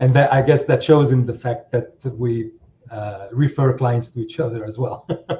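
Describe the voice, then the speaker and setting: At a moderate pace, a man speaks at a medium pitch with fairly even intonation and a somewhat breathy voice. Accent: non-native. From outside the US. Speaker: accountant. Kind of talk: podcast interview. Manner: halting, many fillers.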